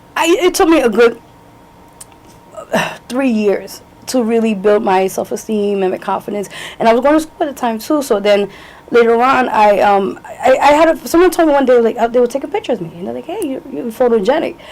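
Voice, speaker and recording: Speaking fairly quickly in a New York accent, a woman has a high pitch, lively intonation and big swings in loudness over noticeable background noise. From New York, Lower East Side. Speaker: singer, actress, model. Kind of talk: interview answer.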